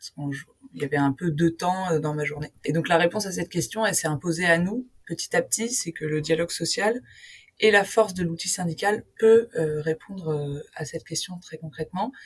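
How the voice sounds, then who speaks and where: Somewhat breathy, a woman talks at a fairly quick pace with a fairly low pitch and ordinary pitch variation. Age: 20s. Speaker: union co-founder. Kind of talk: interview. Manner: hesitant, many fillers.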